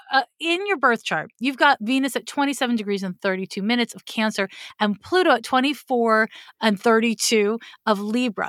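Recorded very cleanly against a silent background with a dry, close sound and no echo, a woman uses an unremarkable speaking voice, fairly high in pitch, with lively intonation at a fairly slow pace. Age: 40s. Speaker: astrologer. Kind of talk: astrology reading.

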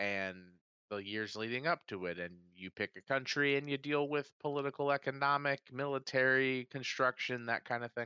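A man with an American accent at medium pitch, bright and sharp in tone, moderate in pace with ordinary pitch variation, in a dry, close sound with no echo against a quiet background. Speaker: podcast host. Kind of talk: casual banter, joking. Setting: live stream. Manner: jokey, does impressions.

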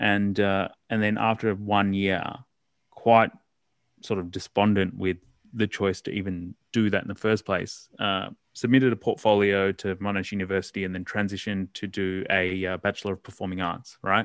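Speaking at a moderate pace with an Australian accent, the voice stays monotone and flat. The sound is dry and close with no echo, over a quiet background. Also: man, fairly low pitch for a man. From Australia, Melbourne. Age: 30s. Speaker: writer and anti-violence campaigner. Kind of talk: casual interview.

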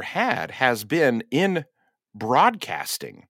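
Speaking in a Midwestern American accent, the voice is animated, bright and sharp, with very wide pitch swings. The recording is very clean, with a silent background and a dry, close sound with no echo. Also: man. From western Indiana. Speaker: TV meteorologist. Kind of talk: interview conversation.

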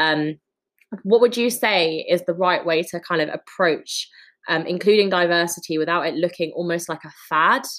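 Speaking in a London accent, a woman uses fairly low pitch with ordinary pitch variation at a moderate pace. The recording is very clean, the background silent. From London, Wood Green. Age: young. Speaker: podcast host. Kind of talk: casual chat.

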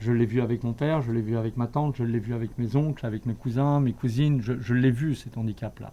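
The speaker moves at a fairly quick pace with hardly any pauses. The tone is dark and mellow, and the intonation fairly even. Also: man, medium pitch for a man. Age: 50s. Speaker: swimming coach. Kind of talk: interview testimony.

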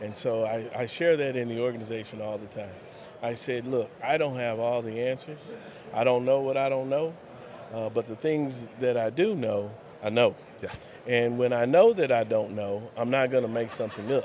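A man speaks with an American accent at a moderate pace. Noticeable background noise can be heard. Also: medium pitch for a man. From West Texas (Lubbock). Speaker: school superintendent. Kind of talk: interview.

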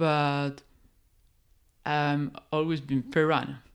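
On a very clean recording with a silent background, the speech moves at a very slow pace. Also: woman. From Peru, Oxapampa region. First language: Spanish. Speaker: forest scientist. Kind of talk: casual interview.

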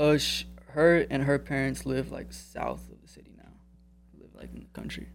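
With music playing in the background, a man talks at a moderate pace, his loudness swinging widely. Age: 20s. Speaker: jiu-jitsu student. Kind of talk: interview.

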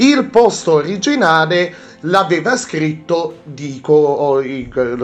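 Noticeable background noise sits behind this recording. A man speaks at a fairly high pitch with very wide pitch swings. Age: 20s. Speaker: podcast host. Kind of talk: casual chat. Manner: halting.

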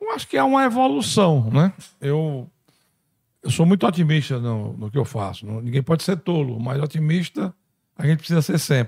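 Speaking at a moderate pace, a man with a fairly high, somewhat breathy voice uses lively intonation. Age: 60s. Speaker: congressman. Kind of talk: interview.

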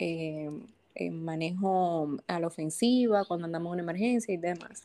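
At a fairly slow pace, a woman speaks in a dark, mellow tone with ordinary pitch variation. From Dominican Republic, Santo Domingo. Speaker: paramedic and first-aid instructor. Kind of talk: casual interview. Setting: studio.

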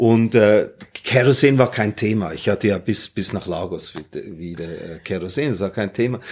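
In an unremarkable speaking voice, someone talks at a fairly slow pace with ordinary pitch variation. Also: man, fairly low pitch for a man. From Hong Kong, Germany and Singapore. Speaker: retired airline captain. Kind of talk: casual interview.

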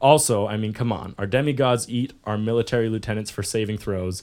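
This man has an unremarkable speaking voice with a Canadian accent and a fairly low pitch. He talks at a fairly quick pace with ordinary pitch variation. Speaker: podcast host. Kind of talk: casual chat. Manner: joking, banter.

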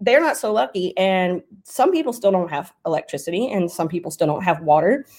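A woman's unremarkable speaking voice, medium in pitch, with lively intonation and a fairly quick pace. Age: 30s. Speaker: fantasy football writer and podcast host. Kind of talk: casual Q&A answering audience questions. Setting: live stream on Discord.

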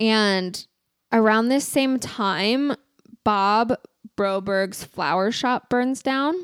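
A woman with a Californian accent and fairly high pitch, at a very slow pace with long, frequent pauses, very even loudness and ordinary pitch variation, in a very clean recording with a silent background. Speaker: podcast co-host. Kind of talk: casual chat. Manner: filler-heavy, says like a lot.

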